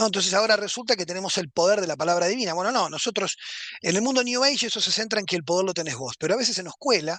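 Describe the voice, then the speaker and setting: Someone speaks at a very fast pace with a Uruguayan accent. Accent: Rioplatense Spanish (Uruguayan). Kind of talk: lecture.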